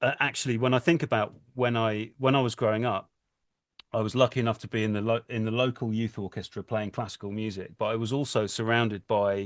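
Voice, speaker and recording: The speech runs at a very fast pace with fairly even intonation, its sound dry and close with no echo against a quiet background. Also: man, medium pitch for a man. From England, Cornwall. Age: 40s. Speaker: composer. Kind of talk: interview. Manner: halting, many restarts.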